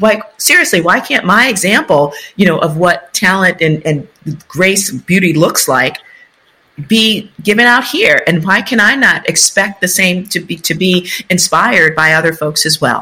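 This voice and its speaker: Speaking in an American accent, a woman uses lively intonation, a medium pitch and a bright, sharp tone at a moderate pace. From US Northeast, South Bronx, New York City. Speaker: urban development consultant and author. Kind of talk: interview conversation.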